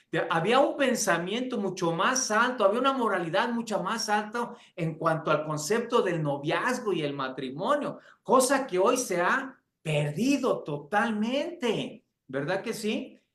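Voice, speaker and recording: Speaking at a fairly slow pace, a man with a high pitch moves through very wide pitch swings. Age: 60s. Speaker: pastor and seminary teacher. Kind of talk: lecture.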